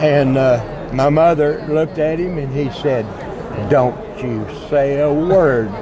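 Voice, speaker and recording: With crowd noise in the background and audible room echo, a man with a fairly high pitch and ordinary pitch variation talks at a fairly slow pace, taking long, frequent pauses. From Texas, west and central (San Angelo, Blum). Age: 70s. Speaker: trucking veteran. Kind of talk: interview. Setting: trade show floor. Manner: halting, many fillers.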